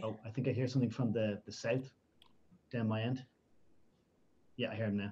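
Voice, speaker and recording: Somewhat breathy, with a dark, mellow tone, a man speaks at a medium pitch and a fairly quick pace. His intonation is monotone and flat, with long, frequent pauses. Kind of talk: casual gaming stream chat.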